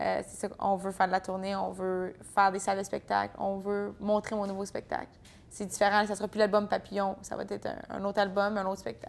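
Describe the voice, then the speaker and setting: With an Ontario accent, a woman speaks fairly quickly at a medium pitch in a flat, monotone delivery with big swings in loudness. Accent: Franco-Ontarian. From Franco-Ontario, Bourget area (eastern Ontario). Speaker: country singer. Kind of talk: interview. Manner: casual, hesitant with fillers.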